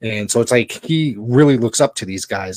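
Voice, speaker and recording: A man's unremarkable speaking voice at a medium pitch, with ordinary pitch variation, a fairly quick pace and a dry, close sound with no echo. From Connecticut, US. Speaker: wrestling podcast co-host and play-by-play announcer. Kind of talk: casual chat.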